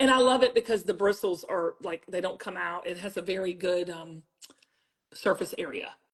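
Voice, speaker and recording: Speaking in a Southern US accent, a woman talks at a moderate pace with a medium pitch and ordinary pitch variation. Her tone is animated, and her loudness swings widely. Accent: Southern US, sounds country. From South Carolina. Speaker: TV beauty brand founder. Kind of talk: livestream product demo chat.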